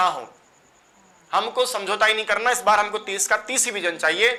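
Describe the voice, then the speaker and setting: A man's raised, projected voice, high in pitch, at a moderate pace amid noticeable background noise. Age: 40s. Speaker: Sanskrit teacher. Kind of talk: online class address to students. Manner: animated.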